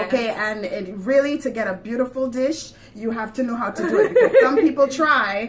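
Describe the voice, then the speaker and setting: A woman in a Grenadian accent, high-pitched, with lively intonation and hardly any pauses, over noticeable background noise. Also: fairly quick pace. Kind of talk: casual conversation.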